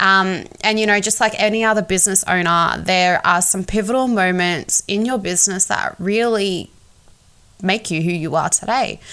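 Speaking in an Australian accent, a woman with a medium pitch and a bright, sharp tone keeps fairly even intonation at a moderate pace, on a very clean recording with a silent background. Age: 20s. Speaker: podcast host, PR agency owner. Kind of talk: podcast trailer monologue.

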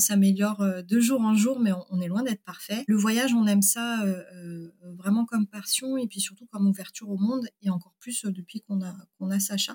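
The voice is somewhat breathy with a dark, mellow tone and fairly even intonation, recorded with a dry, close sound and no echo. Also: woman. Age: 30s. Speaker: engineer and company founder. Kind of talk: casual interview.

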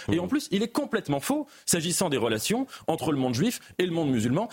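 A man speaks very fast with vocal fry, his pitch swinging very widely. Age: 20s. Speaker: writer. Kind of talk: panel debate. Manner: halting, repeats words.

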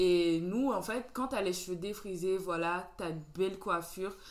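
A woman speaks in an unremarkable speaking voice at a medium pitch. Her intonation is fairly even, and her pace is fairly slow. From Benin. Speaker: podcast host. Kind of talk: casual chat.

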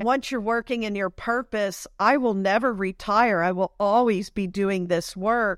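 A woman speaks at a medium pitch with fairly even intonation and an unremarkable speaking voice. Her pace is fairly slow, with hardly any pauses, against a quiet background. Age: 50s. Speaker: spiritual and business coach. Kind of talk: interview.

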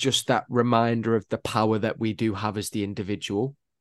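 A man with a Mancunian accent against a quiet background. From Manchester, England. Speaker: actor and radio presenter. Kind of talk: casual interview chat.

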